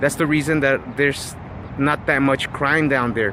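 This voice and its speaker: A man talks with a fairly high pitch while noticeable background noise runs beneath him. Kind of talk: casual vlog monologue. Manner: halting, many fillers and repeats.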